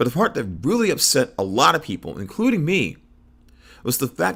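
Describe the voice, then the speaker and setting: Recorded very cleanly against a silent background, a man talks at a moderate pace in a fairly high pitch, with vocal fry and very wide pitch swings. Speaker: wrestling commentator. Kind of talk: opinion rant to camera. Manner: stammering.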